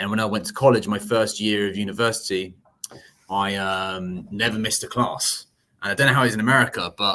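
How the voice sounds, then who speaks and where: Talking at a very fast pace, a man has a fairly low pitch and a bright, sharp tone. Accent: London. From outskirts of London, England. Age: young. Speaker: commercial real estate broker. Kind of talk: podcast interview answer.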